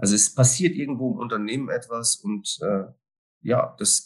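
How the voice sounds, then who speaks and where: A somewhat breathy voice at a moderate pace with very wide pitch swings. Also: man. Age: 50s. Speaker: risk management consultant. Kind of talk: interview conversation.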